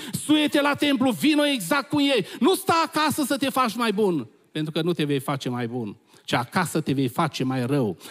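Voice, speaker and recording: A man's high-pitched, animated voice with very wide pitch swings, a moderate pace and a quiet background. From Romania. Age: old. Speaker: visiting preacher. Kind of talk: sermon. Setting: church. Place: church. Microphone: handheld.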